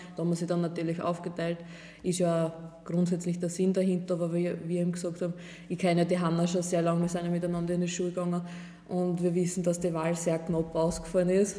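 Speaking very fast in a monotone, flat way, a woman with a fairly low pitch is heard amid noticeable background noise and audible room echo. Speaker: wine princess from a winery. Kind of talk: casual chat. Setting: winery sales room.

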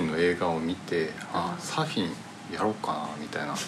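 At a moderate pace, a man talks against noticeable background noise. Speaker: podcast host. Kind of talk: casual chat. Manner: poor articulation.

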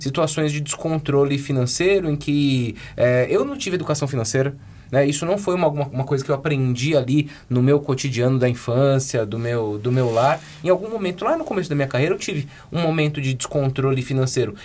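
A man has a plain, everyday voice, fairly high in pitch. He speaks at a fairly quick pace with ordinary pitch variation. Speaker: podcast co-host. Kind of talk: casual chat.

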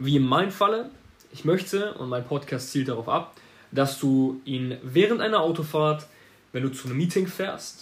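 This man's voice sits fairly high in pitch, with an animated tone, ordinary pitch variation and a moderate pace. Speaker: marketing agency owner podcaster. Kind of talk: solo podcast monologue. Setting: home office.

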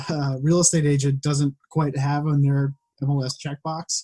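A man's fairly high, somewhat breathy voice with a dark, mellow tone, in an American accent, at a moderate pace, in a dry, close recording with no echo. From Western Massachusetts. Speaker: data visualization designer and farmer. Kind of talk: casual chat.

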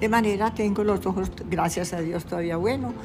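With music in the background, a woman speaks in a fairly low pitch. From Colombia, Medellín (Antioquia). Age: 90s. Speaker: painter. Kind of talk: life-story interview. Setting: at home. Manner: halting.

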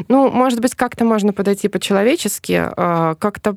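Recorded very cleanly against a silent background, a woman speaks at a moderate pace and a fairly high pitch in a dry, close sound with no echo. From Smolensk region, Russia. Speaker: tour guide and journalist. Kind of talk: casual chat. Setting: studio. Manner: talkative.

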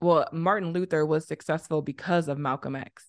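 Fairly low-pitched for a woman, this speaker has a normal speaking voice with an American accent and fairly even intonation. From Southern Illinois, US. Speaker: podcaster and activist. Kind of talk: interview conversation.

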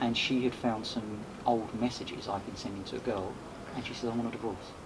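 The speaker talks at a fairly quick pace with fairly even intonation. Noticeable background noise runs under the voice. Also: man. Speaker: podcaster and event host. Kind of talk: casual interview chat.

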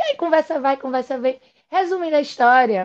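A woman speaks at a high pitch with ordinary pitch variation. The sound is dry and close with no echo, against a quiet background. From Pernambuco countryside, Brazil. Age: 40s. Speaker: endodontist. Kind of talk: interview conversation.

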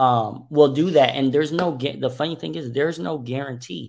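In a very clean recording with a silent background, a man talks at a moderate pace with ordinary pitch variation. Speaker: podcast host. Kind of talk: casual chat. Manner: halting.

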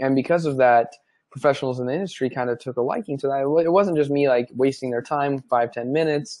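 Fairly quick and fairly even in intonation, a man talks at a medium pitch in a dark, mellow tone. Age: 20s. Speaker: sports media founder and CEO. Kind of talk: interview.

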